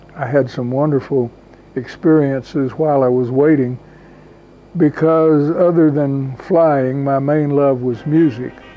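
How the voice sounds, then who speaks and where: A man speaks very slowly at a fairly high pitch. His intonation is fairly even, and there is noticeable background noise. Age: 80s+. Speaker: WWII veteran. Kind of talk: interview.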